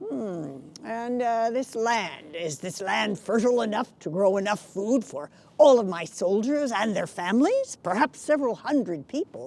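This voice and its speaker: Putting on a character voice, a woman speaks at a moderate pace, fairly high in pitch with very wide swings. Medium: solo performance. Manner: halting, with many hesitations.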